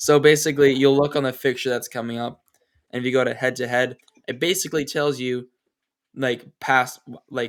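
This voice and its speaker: A man with a medium-pitched voice speaks in a monotone, flat way. He leaves long, frequent pauses. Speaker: soccer podcast host. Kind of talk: casual chat. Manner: fast.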